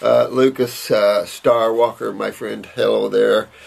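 Here a man with an American accent has a warm tone. He speaks at a very slow pace. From US Midwest. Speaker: naturopathic health practitioner answering viewer questions. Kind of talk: casual Q&A monologue. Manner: warm, rambling and informal. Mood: warm, reminiscing. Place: office. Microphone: camera far.

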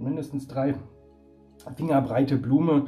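The pace is fairly slow as a man speaks. Behind him, music plays faintly. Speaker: beer reviewer. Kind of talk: casual vlog chat. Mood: cheerful, relaxed. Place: home room. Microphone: phone near.

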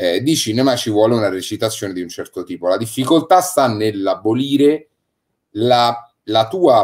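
Lively intonation marks a man's normal speaking voice. He talks at medium pitch and a moderate pace. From Rome, Italy. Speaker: radio speaker, actor and voice actor. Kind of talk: casual chat. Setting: live stream.

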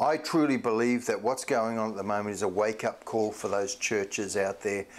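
A man speaks at a moderate pace, his fairly low pitch showing ordinary variation.

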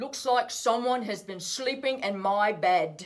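At a fairly slow pace, a put-on character voice comes through gruff and fairly high-pitched.

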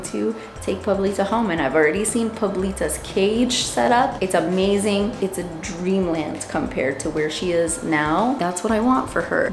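Against noticeable background noise, a woman talks at a moderate pace with hardly any pauses. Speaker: bird owner vlogger. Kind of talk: casual vlog chat. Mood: warm, emotional, proud. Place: shop. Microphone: phone near.

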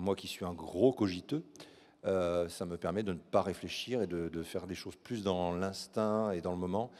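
A man's very deep, low voice at a fairly slow pace, with ordinary pitch variation. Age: 40s. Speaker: actor at a fan convention. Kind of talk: live Q&A panel. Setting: stage with audience. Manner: animated. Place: stage. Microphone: handheld.

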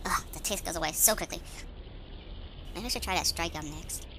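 A cartoonish character voice that sounds female moves at a fairly quick pace. Loud background noise runs underneath. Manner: panicked, shouting.

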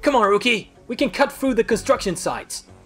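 A raspy, put-on character voice at a fairly high pitch moves at a fairly quick pace, with faint music in the background.

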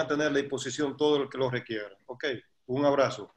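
Monotone, flat intonation from a man at a moderate pace over a quiet background. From Dominican Republic. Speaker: sports federation president. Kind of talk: welcome speech. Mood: warm, thankful. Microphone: video call.

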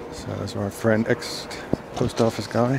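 Over noticeable background noise, a man talks at a very slow pace in a fairly low pitch, his intonation monotone and flat, the sound dry with no echo. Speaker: channel host, atheist street interviewer. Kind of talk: spoken aside to the recorder. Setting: outdoors.

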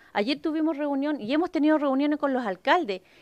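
A woman with a Chilean accent talks at a fairly quick pace. The sound is dry, with no echo. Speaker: union representative. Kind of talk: impassioned union speech. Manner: urgent, indignant. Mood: concerned, indignant. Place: meeting room. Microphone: podium.

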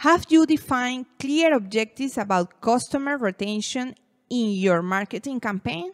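A woman with a fairly high pitch and a Venezuelan accent speaks at a moderate pace with lively intonation, in a dry, close sound with no echo. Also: very clean recording, silent background. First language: Spanish. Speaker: marketing educator. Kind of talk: educational talk to camera.

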